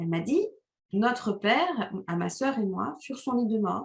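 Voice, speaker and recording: Her voice is somewhat breathy. The woman uses lively intonation. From Rwanda. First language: Kinyarwanda (speaking French). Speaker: novelist. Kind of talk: interview. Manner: hesitant, many fillers.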